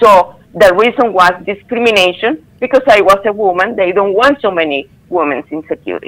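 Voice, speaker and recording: Speaking at a moderate pace with hardly any pauses, a woman uses lively intonation at a medium pitch. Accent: strong non-native. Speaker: former theme park employee. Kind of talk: interview testimony.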